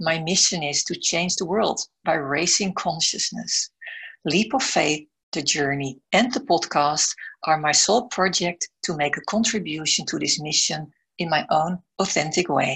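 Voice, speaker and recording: Against a quiet background, a woman with a Dutch accent speaks at a fairly slow pace, fairly low in pitch and with ordinary pitch variation. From Netherlands. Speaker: podcast host, business mentor and coach. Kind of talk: scripted intro then interview.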